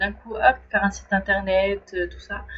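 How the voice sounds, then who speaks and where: A woman at a fairly slow pace. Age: 30s. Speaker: trainee life coach. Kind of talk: personal video diary, casual monologue. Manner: hesitant, many fillers and restarts.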